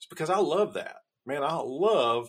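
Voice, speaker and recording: The recording is very clean, and the background is silent. A man does the talking. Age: 50s. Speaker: blacksmith and business owner. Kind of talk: casual chat.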